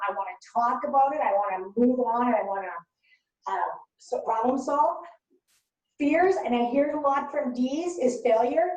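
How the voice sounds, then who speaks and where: A woman's high-pitched, animated voice with ordinary pitch variation and a moderate pace, in audible room echo. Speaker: workshop facilitator. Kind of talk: workshop presentation. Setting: webinar.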